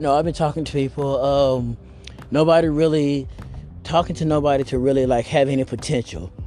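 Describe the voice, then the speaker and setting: A man with an American accent speaks at a fairly quick pace, his pitch fairly high with ordinary variation. Music plays in the background. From US South (Arkansas). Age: 30s. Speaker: podcaster. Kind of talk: casual monologue. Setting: outdoors, walking. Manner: rambling with fillers.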